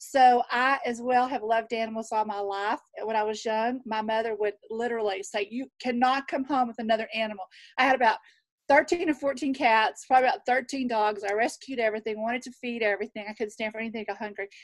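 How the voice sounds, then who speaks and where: With a Southern US accent, a woman speaks at a fairly high pitch with ordinary pitch variation in a very clean recording with a silent background. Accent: Southern drawl. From Texas. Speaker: nurse. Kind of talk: casual chat.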